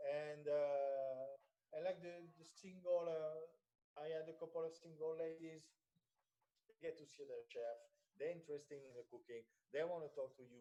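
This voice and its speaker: A man's fairly high, dark, mellow voice with a French accent, fairly even intonation, a moderate pace and big swings in loudness. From France. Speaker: personal chef. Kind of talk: radio interview. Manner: halting, many fillers.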